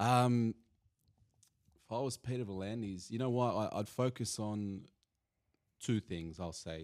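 A man with an Australian accent speaks with ordinary pitch variation, the sound dry and close with no echo in a very clean recording with a silent background. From Bosnia (Banja Luka), grew up in Sydney. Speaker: sports analyst. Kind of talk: casual chat. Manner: hesitant, many fillers.

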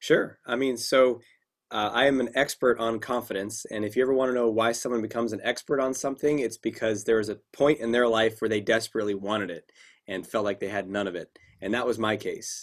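In a very clean recording with a silent background, a man with a plain, everyday voice speaks at a fairly quick pace, his medium pitch showing ordinary variation. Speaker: clinical psychologist and confidence coach. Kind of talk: casual interview.

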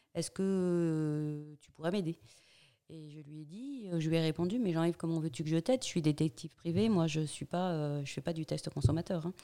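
A woman speaks at a moderate pace with a fairly low pitch and a dark, mellow tone. Her pitch varies in an ordinary way, and the recording is very clean with a silent background. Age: 50s. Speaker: business owner, former private detective. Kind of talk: interview. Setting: her company's premises. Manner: halting, many repetitions.

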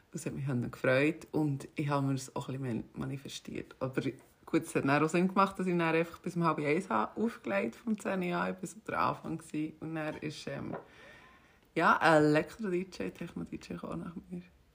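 In a Swiss accent, a woman with a very deep, low pitch speaks at a moderate pace with lively intonation, vocal fry and big swings in loudness. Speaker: podcast co-host and DJ. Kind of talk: casual chat.

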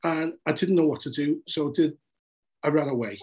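A man in a Liverpool accent, at a moderate pace, with ordinary pitch variation. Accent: Scouse (Liverpool). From Liverpool, England. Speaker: journalist. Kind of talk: casual interview.

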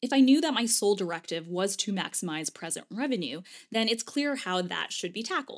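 On a very clean recording with a silent background, a woman talks at a fairly quick pace and medium pitch, her voice making very wide pitch swings. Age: 30s. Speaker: podcast host, former lawyer turned writer. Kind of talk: solo podcast monologue.

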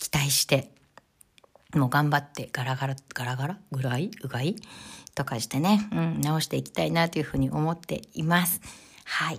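With lively intonation and vocal fry, a woman speaks at a moderate pace in a very deep, low pitch. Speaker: podcast host, image consultant. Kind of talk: solo podcast talk.

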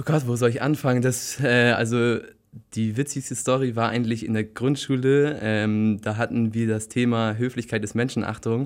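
A man at a medium pitch with monotone, flat intonation. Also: moderate pace. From northern Germany, Bremen area. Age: 20s. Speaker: author and book blogger. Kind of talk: casual interview. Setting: studio.

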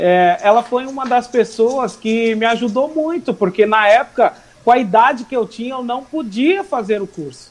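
An extremely high-pitched man with lively intonation. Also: moderate pace. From Brazil, Suzano, São Paulo area. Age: 20s. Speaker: hairdresser and entrepreneur. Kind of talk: casual interview.

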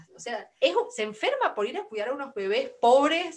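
Over noticeable background noise, a high-pitched woman speaks at a moderate pace with very wide pitch swings. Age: 20s. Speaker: podcast host. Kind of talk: casual chat.

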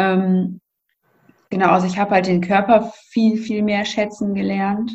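A woman speaks at a fairly slow pace and a medium pitch, her intonation monotone and flat. Her voice is somewhat breathy. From north-western Germany, near Münster. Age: 20s. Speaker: nurse and blogger with chronic illness. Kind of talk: interview, personal testimony.

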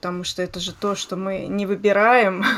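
Monotone, flat intonation marks this woman's medium-pitched voice as she speaks at a moderate pace. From Voskresensk, Moscow region, Russia. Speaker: podcast host. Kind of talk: casual chat.

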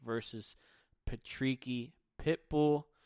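In a very clean recording with a silent background and a dry, close sound with no echo, a man with an American accent speaks in a medium pitch with an energetic tone and ordinary pitch variation. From Philadelphia, US. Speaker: MMA podcast host. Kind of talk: solo podcast commentary.

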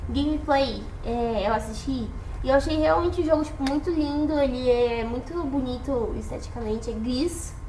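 A woman speaks at a high pitch with lively intonation. Noticeable background noise and audible room echo surround her voice. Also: moderate pace. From Brazil, São Paulo state interior (Jaguariúna). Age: 18. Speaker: podcast guest. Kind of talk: casual chat.

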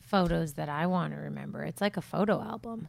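A woman has a normal speaking voice, fairly low in pitch, with ordinary pitch variation. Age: 30s. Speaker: podcast co-host. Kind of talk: casual chat.

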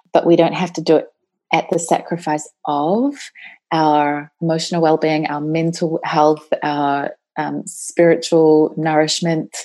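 A woman with a very deep, low pitch speaks at a fairly slow pace in a New Zealand accent, her intonation monotone and flat. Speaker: women's life coach. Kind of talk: podcast interview. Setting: remote call.

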